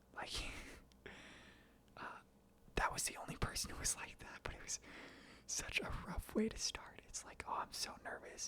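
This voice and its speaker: Whispering at a moderate pace, a man leaves long, frequent pauses, with big swings in loudness. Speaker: accounting intern and student. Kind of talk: ASMR ramble, casual talk to camera. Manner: soft-spoken, whispered.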